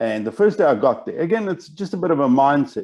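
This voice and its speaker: This man talks at a fairly quick pace in a dark, mellow tone. His pitch swings very widely. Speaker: business educator. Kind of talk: webinar presentation. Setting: online webinar. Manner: fast when excited.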